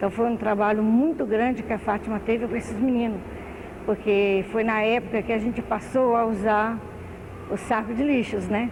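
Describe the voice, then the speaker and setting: Over noticeable background noise, a woman with a fairly high pitch speaks at a moderate pace, her intonation fairly even and her loudness very even. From Brazil, southern Minas Gerais. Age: 60s. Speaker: retired municipal social worker. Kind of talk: oral history interview. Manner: halting.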